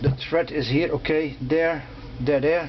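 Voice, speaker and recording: This man speaks with a non-native accent. His pace is fairly slow and his intonation fairly even. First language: not English. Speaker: motorcycle restorer. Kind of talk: tutorial. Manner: halting.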